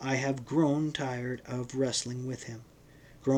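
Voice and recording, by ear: With fairly even intonation, someone is reading aloud in a natural voice.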